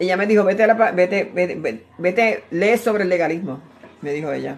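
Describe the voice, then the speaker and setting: A woman's voice shows ordinary pitch variation and moves at a fairly quick pace. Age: 60s. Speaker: preacher. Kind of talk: sermon. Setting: at home, live stream. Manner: animated.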